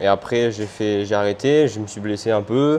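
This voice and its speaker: This man talks at a fairly slow pace, his pitch fairly low and his intonation fairly even. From Réunion, Le Port. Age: 20s. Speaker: motorcycle racer. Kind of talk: interview. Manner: halting.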